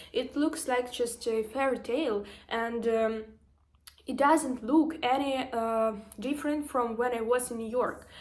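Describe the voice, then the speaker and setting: The speaker has a Ukrainian accent and a fairly slow pace. The intonation stays fairly even. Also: woman, high pitch for a woman. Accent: Ukrainian accent, noticeable. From Ukraine. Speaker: vlogger and social media marketer. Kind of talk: motivational vlog monologue. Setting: standing, filming herself after a workout. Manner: emotional, hesitant with fillers.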